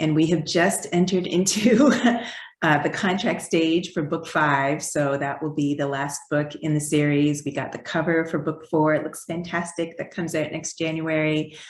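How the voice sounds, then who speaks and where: A woman with a slight Canadian accent speaks in a very deep, low pitch with fairly even intonation. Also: moderate pace. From Canada. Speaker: children's book author. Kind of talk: interview.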